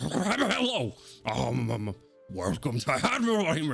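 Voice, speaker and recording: A man talks in a put-on character voice at a very slow pace. Faint music plays in the background. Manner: stuttering, hesitant.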